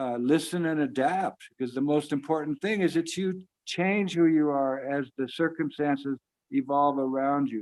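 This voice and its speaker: This man has an ordinary speaking voice, pitched fairly high, with ordinary pitch variation and a moderate pace. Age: 60s. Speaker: storyteller. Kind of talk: storytelling. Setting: video call.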